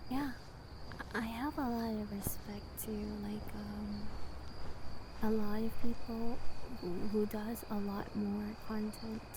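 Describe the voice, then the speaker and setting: Noticeable background noise around a woman's very slow delivery, broken by long, frequent pauses. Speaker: VTuber ASMR creator. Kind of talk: casual venting about life. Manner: hesitant, rambling.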